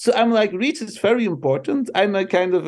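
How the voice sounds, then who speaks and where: A man speaks with a Flemish Belgian accent. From Belgium. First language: Dutch. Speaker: marketing professor. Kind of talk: interview.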